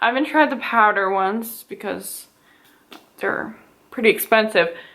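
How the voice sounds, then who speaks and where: A woman talks at a moderate pace with a Western Canadian accent. Her pitch is fairly high, with ordinary pitch variation. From Edmonton, Alberta, Canada. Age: 20s. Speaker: beauty YouTuber. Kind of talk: casual talk to camera.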